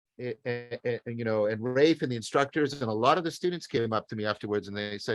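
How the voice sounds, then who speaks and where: A man's medium-pitched voice with lively intonation at a fairly quick pace, dry and close with no echo, music in the background. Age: 60s. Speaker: professor. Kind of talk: casual chat. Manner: halting.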